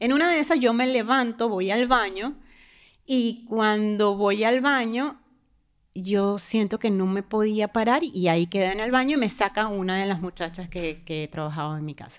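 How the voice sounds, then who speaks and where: The speaker moves at a moderate pace with lively intonation against a quiet background. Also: woman, fairly high pitch for a woman. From Venezuela. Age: 40s. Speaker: guest sharing near-death experience; guest. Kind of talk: personal testimony; interview answer. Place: studio. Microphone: studio mic.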